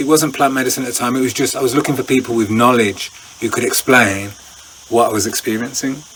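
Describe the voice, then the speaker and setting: Intonation stays fairly even. Noticeable background noise runs underneath. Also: man. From England. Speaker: breathwork instructor. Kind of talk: interview answer.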